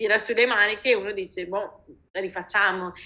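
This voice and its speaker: A woman at a moderate pace, an ordinary speaking voice. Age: 30s. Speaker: designer and art director. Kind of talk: interview conversation.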